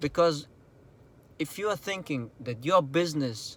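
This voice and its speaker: The recording is very clean, with a silent background. A man with a non-native accent talks fairly slowly at a fairly high pitch. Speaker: entrepreneur vlogger. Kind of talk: motivational vlog talk. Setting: in a car at night.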